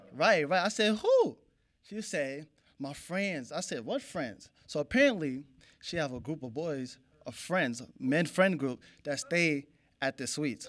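A man talks at a fairly slow pace, and the background stays quiet. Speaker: stand-up comedian. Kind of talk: stand-up comedy routine. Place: stage. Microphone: handheld.

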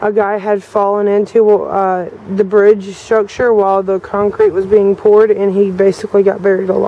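A woman talks at a fairly slow pace in a monotone, flat way. The sound is dry with no echo. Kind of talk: casual vlog narration. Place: waterside. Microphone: phone near.

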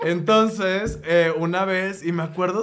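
Fairly slow delivery with ordinary pitch variation and audible room echo. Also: man. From Monterrey, Mexico. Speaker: graphic designer and comedian. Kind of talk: casual chat.

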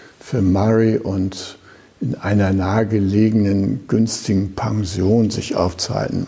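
Noticeable background noise sits behind a man speaking at a very slow pace. His voice is fairly low and his intonation fairly even. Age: 70s. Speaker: Zen teacher. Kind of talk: dharma talk.

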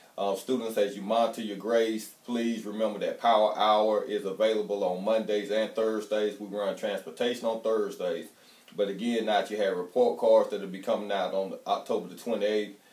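The speech moves at a moderate pace with hardly any pauses. Audible room echo surrounds it. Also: man. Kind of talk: announcement to students. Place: office. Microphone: camera far.

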